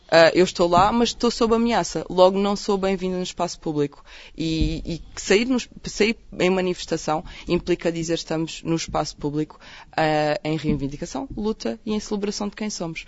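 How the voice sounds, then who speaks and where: A woman's fairly low voice carries ordinary pitch variation at a moderate tempo. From Portugal, Évora (Alentejo). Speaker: doctor and LGBT health activist. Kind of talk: radio interview. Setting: radio studio. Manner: halting, many repetitions and fillers.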